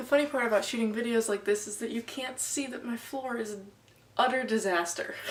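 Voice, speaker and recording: Over noticeable background noise, a woman talks at a fairly quick pace with a fairly high pitch. Her pitch varies in an ordinary way, while her loudness swings a lot. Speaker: student vlogger. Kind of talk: casual vlog and school presentation. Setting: bedroom.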